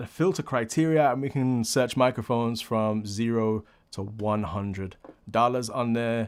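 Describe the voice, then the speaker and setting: At a medium pitch, a man with a plain, everyday voice talks at a moderate pace with ordinary pitch variation on a very clean recording with a silent background. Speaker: audio producer and tutorial youtuber. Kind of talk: tutorial.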